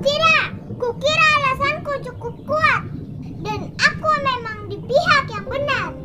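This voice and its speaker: Over music in the background, a put-on character voice speaks at a fairly slow pace. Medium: read story. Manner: defiant.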